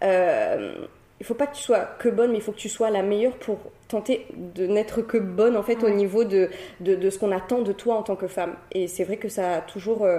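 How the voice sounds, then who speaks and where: A woman talks at a moderate pace in a normal speaking voice, her medium pitch carried on fairly even intonation. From Réunion (Cilaos). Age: 20s. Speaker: entrepreneur and social media creator. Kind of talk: interview conversation.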